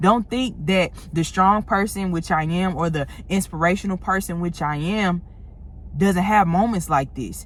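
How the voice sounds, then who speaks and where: A woman's somewhat breathy, medium-pitched voice in a St. Louis accent, fairly slow, with ordinary pitch variation. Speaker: motivational content creator. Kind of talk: motivational talk to camera. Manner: casual, conversational.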